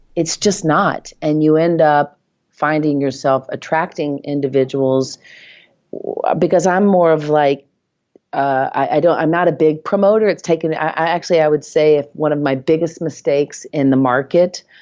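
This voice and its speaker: A woman with an American accent speaks at a moderate pace in a very deep, low pitch, her loudness very even and her intonation fairly even over a quiet background. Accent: Southern accent, comes out when uncomfortable. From US South, Nashville, Tennessee. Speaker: real estate agent. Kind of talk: interview.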